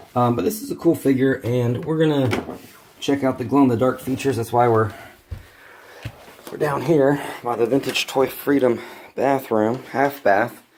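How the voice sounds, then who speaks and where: Noticeable background noise sits behind a man speaking. His pitch is medium, and he leaves long, frequent pauses. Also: ordinary pitch variation, moderate pace. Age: 30s. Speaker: toy reviewer. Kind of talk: toy review vlog. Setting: at home, near a bathroom. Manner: casual, halting.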